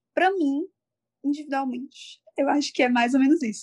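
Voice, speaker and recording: A dry, close sound with no echo around a woman's voice. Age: 20s. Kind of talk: casual chat.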